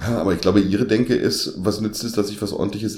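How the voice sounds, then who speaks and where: This man talks at a very fast pace. His voice is fairly low-pitched and somewhat breathy. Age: 50s. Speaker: podcast co-host. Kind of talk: casual chat.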